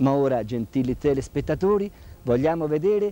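A man's fairly high voice, dark and mellow in tone, with very wide pitch swings. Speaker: TV interviewer and friar. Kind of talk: 1979 TV interview, formal presenter. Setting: studio or convent, TV broadcast. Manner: formal, courteous, measured.

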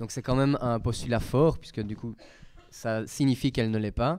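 Against a quiet background, a man talks at a moderate pace and medium pitch with ordinary pitch variation and a dark, mellow tone. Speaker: student moderator. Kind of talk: moderating. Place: classroom.

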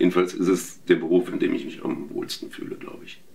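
This man talks at a very fast pace. His words come quickly throughout. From Berlin, Germany. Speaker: voice actor. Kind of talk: interview. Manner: hesitant with fillers. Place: home room. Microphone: lapel.

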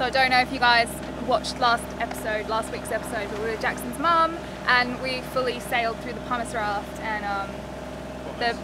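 A woman at a moderate pace with ordinary pitch variation, dry sound with no echo, and loud background noise. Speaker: boat vlogger. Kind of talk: casual vlog chat. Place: boat. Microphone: phone near.

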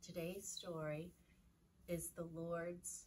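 A somewhat breathy woman with a fairly low pitch, over light background noise. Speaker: children's Sunday school storyteller. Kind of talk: slow, calm storytelling to children. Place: classroom. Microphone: camera far.

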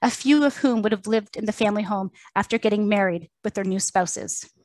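Fairly high-pitched and quick, a woman with an unremarkable speaking voice is recorded dry and close with no echo, over a quiet background. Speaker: museum curator. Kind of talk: public lecture presentation.

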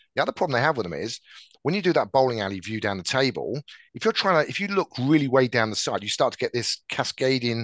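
Talking at a very fast pace, a man with an English accent uses a medium pitch and very wide pitch swings. The background is quiet and the sound is dry with no echo. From England. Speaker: tech sales director. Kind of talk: interview. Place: office. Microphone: headset.

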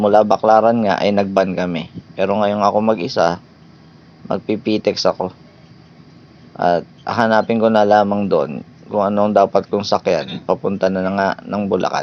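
A man's fairly low voice holds a monotone, flat intonation while he talks at a moderate speed. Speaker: travel vlogger. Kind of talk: vlog narration. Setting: on public transport.

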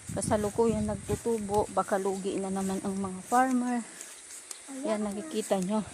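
There is noticeable background noise as a woman speaks at a moderate pace, with a medium pitch and ordinary pitch variation. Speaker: family vlogger. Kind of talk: casual walking vlog narration. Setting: outdoors.

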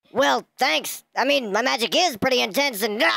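In a put-on character voice, the speaker talks at a fairly high pitch. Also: moderate pace. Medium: machinima. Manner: sarcastic.

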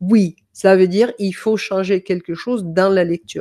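A woman with a Danish accent speaks in a dark, mellow tone over a quiet background. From Denmark. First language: Danish (speaking French). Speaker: music coach; music teacher. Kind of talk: online masterclass; lecture. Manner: hesitant, many fillers. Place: home room. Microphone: webcam.

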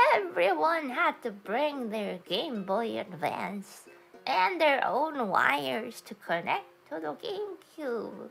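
Using a put-on character voice, a woman talks at a very slow pace with a fairly high pitch and very wide pitch swings, while faint music plays in the background. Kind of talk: casual livestream talk to chat. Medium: role play.

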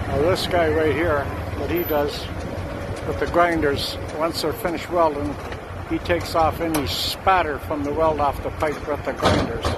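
Loud background noise sits under a man speaking at a moderate pace. The sound is dry with no echo, and his pitch variation is ordinary. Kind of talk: casual commentary. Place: open country. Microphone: phone near.

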